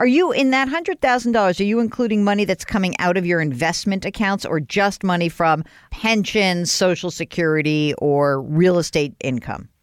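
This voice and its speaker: Using an ordinary speaking voice, a woman at medium pitch talks at a moderate pace with lively intonation, very even loudness and hardly any pauses. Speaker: radio host financial advisor. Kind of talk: advice call-in show.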